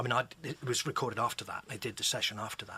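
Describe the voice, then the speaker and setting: A very fast man with a West Country accent and a bright, sharp tone. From England, Exeter (Devon). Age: 60s. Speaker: author and musician. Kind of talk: radio interview.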